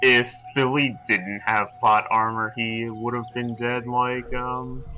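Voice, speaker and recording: A man's medium-pitched, monotone voice at a very slow pace, flat in intonation, over noticeable background noise. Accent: American. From New York. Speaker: let's play player. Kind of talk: casual gameplay commentary.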